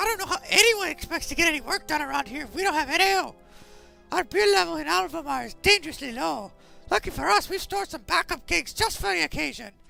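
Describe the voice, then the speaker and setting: Someone uses a gruff, put-on character voice at a very fast pace. Faint music plays in the background. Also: man, extremely high pitch for a man. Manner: complaining.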